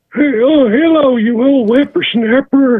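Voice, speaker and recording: This is a man doing a put-on character voice. His pitch is extremely high. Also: fairly slow pace. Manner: jovial, teasing greeting.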